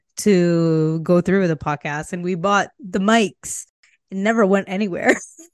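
At a fairly slow pace, a woman speaks in an ordinary speaking voice of medium pitch, with ordinary pitch variation against a quiet background. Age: 20s. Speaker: podcast co-host. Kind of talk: casual chat.

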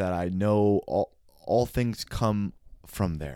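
A man with an American accent speaks very slowly in a fairly low pitch with a dark, mellow tone and ordinary pitch variation, in a very clean recording with a silent background. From San Francisco, US West Coast. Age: 30s. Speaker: podcast guest sharing mental health story. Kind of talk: casual conversational interview.

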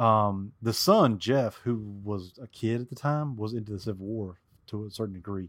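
A man with a Southern US accent speaks at a medium pitch with ordinary pitch variation, on a very clean recording with a silent background. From US South. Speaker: Civil War expert. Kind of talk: casual chat.

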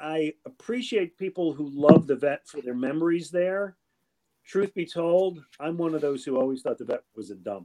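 A man with an American accent and a fairly high pitch uses lively intonation, his dark, mellow tone captured in a dry, close sound with no echo. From Buffalo, New York. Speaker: sports radio host and writer. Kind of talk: casual interview.

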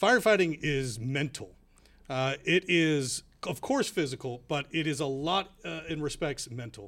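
A man with an American accent and an unremarkable speaking voice talks at a fairly high pitch with lively intonation. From Houston, Texas. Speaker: firefighters union president. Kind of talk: radio interview.

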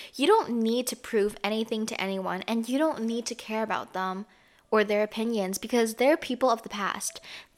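A woman talks at a moderate pace with ordinary pitch variation. Her voice sits fairly high. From Canada. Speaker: podcast host. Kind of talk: casual chat. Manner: casual, filler-heavy speech.

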